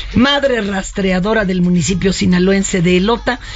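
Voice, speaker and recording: A woman speaks over noticeable background noise. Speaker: radio host. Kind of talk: casual chat. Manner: animated.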